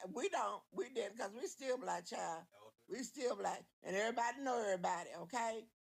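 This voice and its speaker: With an American accent, a woman speaks at a moderate pace and a fairly high pitch, her intonation lively and touched with vocal fry. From Oklahoma, rural Boley. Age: 70s. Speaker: caller. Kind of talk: heated debate. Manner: animated.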